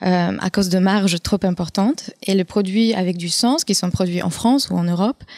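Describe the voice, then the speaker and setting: With a Polish accent, a woman speaks at a moderate pace with a medium pitch, ordinary pitch variation and hardly any pauses, in a dry, close sound with no echo. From Poland. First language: Polish (speaking French). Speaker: entrepreneur, former marketing manager. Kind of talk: round-table discussion.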